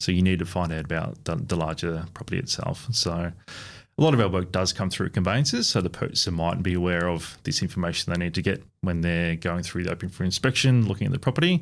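A man talks at a very fast pace with an Australian accent. His very deep, low voice has ordinary pitch variation on a very clean recording with a silent background. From country Victoria, Australia. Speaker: strata report business owner. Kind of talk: podcast interview.

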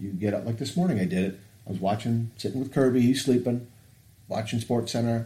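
A man's somewhat breathy voice at a medium pitch, dark and mellow in tone, with ordinary pitch variation and a very fast pace. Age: 50s. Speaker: podcast host and coach. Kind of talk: casual chat.

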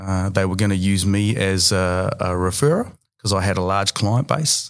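On a very clean recording with a silent background, a man with a New Zealand accent talks at a moderate pace and fairly low pitch with fairly even intonation. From New Zealand, Bay of Plenty. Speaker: finance broker. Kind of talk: interview.

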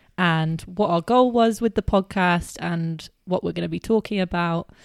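A woman in a British accent at a moderate pace, medium in pitch with ordinary pitch variation, dry and close with no echo, on a very clean recording with a silent background. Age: 20s. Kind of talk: casual chat. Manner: animated.

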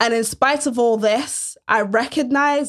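A plain, everyday voice with ordinary pitch variation, moving at a fairly slow pace. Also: woman, very clean recording, silent background. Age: 30s. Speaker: podcast host and pastor. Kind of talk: faith-based solo podcast monologue.

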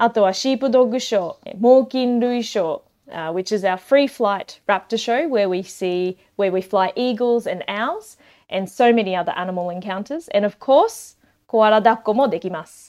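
Her pitch sits fairly high for a woman. This woman talks at a fairly slow pace. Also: ordinary pitch variation. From Queensland, Australia (Toowoomba). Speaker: koala sanctuary worker. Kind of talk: interview. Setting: online call. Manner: hesitant, many fillers.

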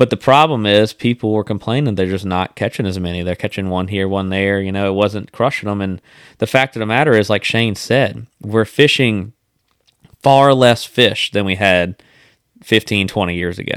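A man with a Louisiana accent speaks at a moderate pace in a fairly low voice with ordinary pitch variation, recorded very cleanly against a silent background. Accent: US South, Louisiana. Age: 30s. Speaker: podcast host, fishing guide. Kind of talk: casual chat.

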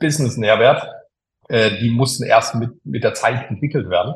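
This man speaks at a moderate pace in a medium pitch, his voice somewhat breathy and his intonation fairly even. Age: 50s. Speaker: engineer and tech executive. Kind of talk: interview. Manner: hesitant, frequent filler sounds.

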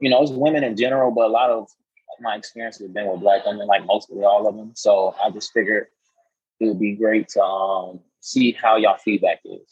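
A man talks at a fairly quick pace in an ordinary speaking voice, with medium pitch and fairly even intonation. His loudness shows big swings. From Florida. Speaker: author and poet, Navy veteran. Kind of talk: casual interview.

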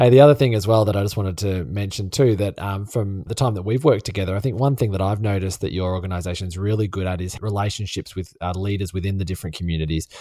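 A man with an Australian accent speaks at a very fast pace with hardly any pauses, his fairly low voice dark and mellow in tone, with ordinary pitch variation. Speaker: podcast host. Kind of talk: casual interview chat.

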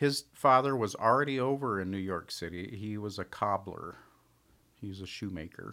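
A man with an American accent talks at a moderate pace in a fairly low, bright, sharp voice, with ordinary pitch variation and big swings in loudness. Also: very clean recording, silent background. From Tucson, Arizona. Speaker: silversmith. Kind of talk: casual chat.

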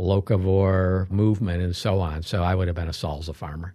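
Against a quiet background, a man with an American accent speaks in a very deep, low pitch with a dark, mellow tone and monotone, flat intonation. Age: 60s. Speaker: pediatrician. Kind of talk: interview. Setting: studio.

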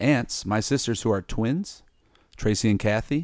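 A man with a plain, everyday voice, a medium pitch and ordinary pitch variation at a moderate pace, on a very clean recording with a silent background. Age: 30s. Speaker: teacher. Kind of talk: casual chat.

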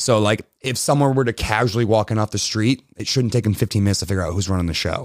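The speech runs at a very fast pace with hardly any pauses. Pitch varies in an ordinary way, and the sound is dry and close with no echo. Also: man. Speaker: gym coach. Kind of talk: casual podcast chat about coaching.

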